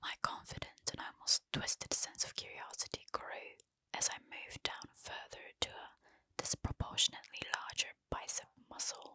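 A soft-spoken woman whispers at a moderate pace, her loudness swinging widely. The background is quiet and the sound is dry with no echo. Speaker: storyteller. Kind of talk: narrated horror story reading. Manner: soft close-mic whisper, storytelling. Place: home room. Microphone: studio mic.

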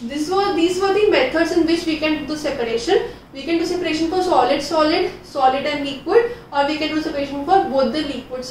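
A woman talks at a very fast pace with a high pitch and ordinary pitch variation. Light background noise and audible room echo are present. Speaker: teacher. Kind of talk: lecture. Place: classroom.

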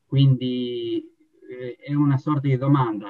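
A man's somewhat breathy voice sounds over a quiet background. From Italy. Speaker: patient. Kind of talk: testimony. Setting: video call. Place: home room. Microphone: video call.

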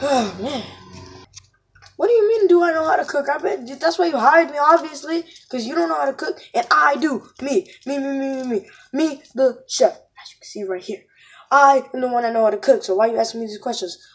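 In a cartoonish character voice, a female-sounding speaker goes at a moderate pace with a high pitch. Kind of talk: comic plush-puppet sketch acting. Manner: annoyed, complaining, boastful.

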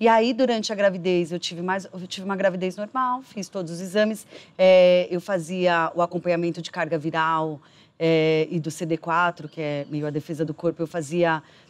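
Her pitch sits fairly low for a woman, with ordinary pitch variation, as she talks at a moderate pace. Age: 30s. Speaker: documentary interviewee living with HIV, marketing professional; interviewee. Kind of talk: personal testimony interview. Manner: halting with frequent fillers. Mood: earnest, reflective. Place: garden.

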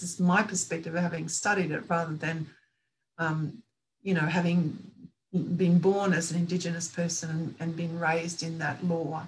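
A somewhat breathy woman with an Australian accent over light background noise. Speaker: author and women's spirituality teacher; women's spirituality teacher. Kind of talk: presentation to online roundtable. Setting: video call. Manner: calm. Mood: calm, earnest. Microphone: video call.

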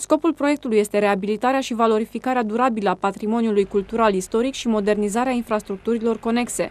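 A woman's fairly high-pitched voice at a very fast pace, with hardly any pauses and fairly even intonation. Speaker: news reporter. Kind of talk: news narration. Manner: formal.

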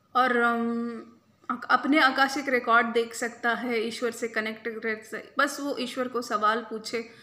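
Delivered at a very slow pace, the voice is bright and sharp, with monotone, flat intonation. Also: woman, fairly high pitch for a woman. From India. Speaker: reiki healer and spiritual coach; spiritual coach. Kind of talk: spiritual talk to camera. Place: home room. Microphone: phone near.

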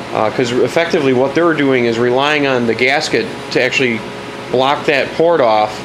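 A man speaks at a moderate pace with ordinary pitch variation, and there is noticeable background noise. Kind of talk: tutorial. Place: garage.

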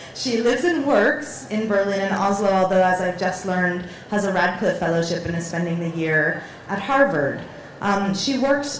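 A woman at a moderate pace, with audible room echo and light background noise. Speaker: museum director and panel moderator. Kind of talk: moderated panel discussion. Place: stage. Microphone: handheld.

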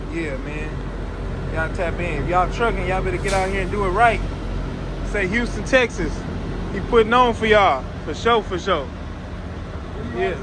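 There is noticeable background noise as a man speaks with ordinary pitch variation. His pauses are long and frequent. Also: moderate pace. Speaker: truck vlogger filming. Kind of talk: casual vlog chat. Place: station. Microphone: phone near.

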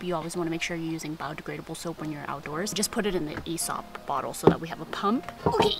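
A woman's voice with ordinary pitch variation, dry and echo-free, over clear background music. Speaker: vlogger. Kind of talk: casual vlog chat. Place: forest.

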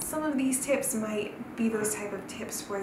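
A woman with a Southern Californian accent at a fairly slow pace, ordinary pitch variation, audible room echo and clear background noise

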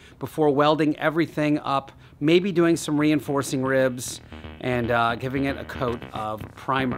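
Faint music plays in the background as a man talks at a moderate pace. His pitch variation is ordinary. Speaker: car build channel host. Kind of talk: casual vlog chat. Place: garage.

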